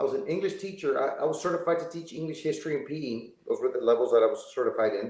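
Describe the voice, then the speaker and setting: There is audible room echo. A man speaks at a fairly quick pace. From Texas, Laredo. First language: Spanish. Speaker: former teacher. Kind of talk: interview storytelling.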